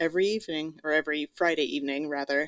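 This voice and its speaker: A woman speaks with ordinary pitch variation on a very clean recording with a silent background. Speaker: podcast co-host and voiceover artist.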